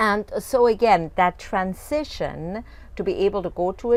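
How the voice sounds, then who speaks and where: A woman with a non-native accent and ordinary pitch variation is heard on a very clean recording with a silent background. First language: not English. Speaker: fitness coach. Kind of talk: video coaching talk. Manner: casual, with frequent fillers and restarts.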